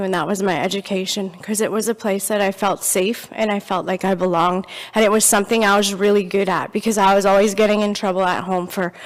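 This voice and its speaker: A woman talks at a fairly quick pace in a medium pitch. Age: 40s. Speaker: speaker sharing life story. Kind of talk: testimony. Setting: church. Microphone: handheld microphone given after audibility problems.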